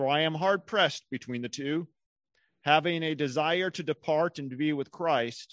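A man's plain, everyday voice, fairly high in pitch with ordinary pitch variation, at a fairly slow pace, with a dry, close sound and no echo against a quiet background. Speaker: church leader. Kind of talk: scripture reading and prayer. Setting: church.

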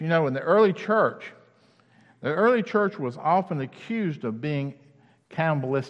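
A man with a Southern US accent, high-pitched with very wide pitch swings, against a quiet background. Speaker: campus minister. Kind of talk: sermon. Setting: church. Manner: halting, many fillers.

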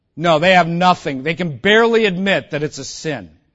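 Animated in tone, this man speaks at a moderate pace with an American accent, a high pitch and ordinary pitch variation. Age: 50s. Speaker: pastor. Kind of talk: sermon.

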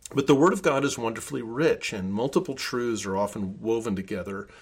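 On a very clean recording with a silent background, a man speaks at medium pitch in an unremarkable speaking voice with lively intonation. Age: 60s. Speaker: pastor. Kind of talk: sermon. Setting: office.

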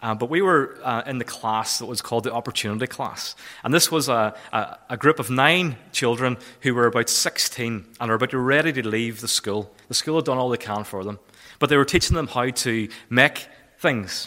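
A man speaks with a Northern Irish accent at a medium pitch. His tone is bright and sharp. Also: ordinary pitch variation, moderate pace. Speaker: charity volunteer manager. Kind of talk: church talk. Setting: church.

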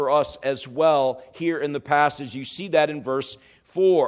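An unremarkable speaking voice at a fairly slow pace, with ordinary pitch variation. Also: man. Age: 50s. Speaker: pastor. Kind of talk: sermon.

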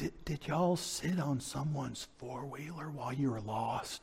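Clear background noise sits behind a man's put-on character voice. He pitches it at a medium level. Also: moderate pace, ordinary pitch variation. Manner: scolding, questioning.

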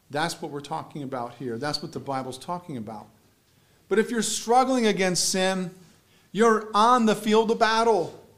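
A man's high-pitched voice swings very widely in pitch and sharply in loudness. He keeps a moderate pace in a room with audible echo. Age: 40s. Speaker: pastor. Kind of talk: sermon. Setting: church.

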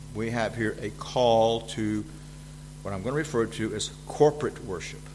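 With a Southern US accent, a man speaks at a fairly slow pace amid audible room echo. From US South. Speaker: visiting preacher and seminary teacher. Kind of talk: sermon. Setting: church. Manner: frequent fillers and hesitations.

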